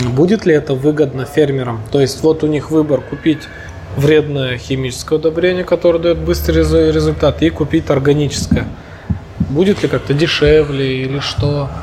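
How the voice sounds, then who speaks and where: With noticeable background noise behind him, a man with a fairly high pitch speaks at a moderate pace and ordinary pitch variation. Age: 30s. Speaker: podcast host. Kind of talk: interview conversation. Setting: cafe.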